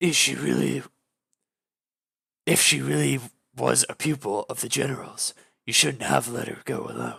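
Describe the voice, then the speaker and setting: A man puts on a raspy character voice, pitched very deep and low. He keeps a moderate pace but leaves long, frequent pauses. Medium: read story.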